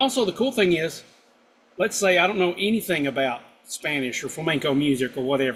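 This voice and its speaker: Fairly high-pitched male voice with a strong Southern US accent. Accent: thick southern drawl. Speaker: guitar instructor. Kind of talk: live stream chat. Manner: casual, hesitant with fillers.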